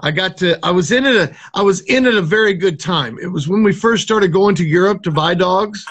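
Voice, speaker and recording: A man with an American accent, high in pitch, at a moderate pace with ordinary pitch variation. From US Midwest, south of Chicago, Illinois. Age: 60s. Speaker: dog trainer and military veteran. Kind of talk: casual interview chat. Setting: live video call on phone.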